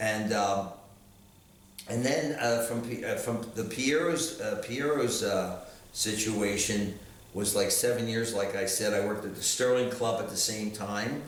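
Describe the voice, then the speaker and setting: A man with an American accent speaks at a fairly slow pace. Noticeable background noise and audible room echo are present. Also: medium pitch for a man, ordinary pitch variation. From New York. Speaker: lounge singer. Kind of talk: casual chat. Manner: halting.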